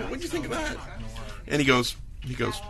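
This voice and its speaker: Noticeable background noise sits behind the speech. A man talks at a very fast pace. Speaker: podcast guest, car owner. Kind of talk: casual chat. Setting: in-store studio recording.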